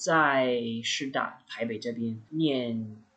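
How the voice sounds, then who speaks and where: Medium-pitched male speech at a very slow pace with ordinary pitch variation. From US Midwest (Indiana). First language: English (speaking Chinese). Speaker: medical student. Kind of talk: casual chat.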